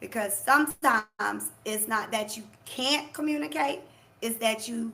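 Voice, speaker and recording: Vocal fry from a woman with a bright, sharp tone, lively intonation and a fairly slow pace. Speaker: life coach. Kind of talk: motivational live talk. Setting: livestream. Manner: loud, forceful.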